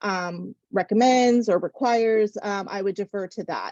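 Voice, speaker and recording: A woman speaks at a fairly high pitch with a plain, everyday voice and ordinary pitch variation. The sound is dry and close with no echo. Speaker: medical residency program coordinator. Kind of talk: webinar presentation.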